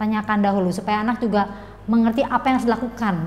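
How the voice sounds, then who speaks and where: Faint noise is audible behind the speech. The speaker is a woman. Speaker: teacher. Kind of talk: tutorial. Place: classroom. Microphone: lapel.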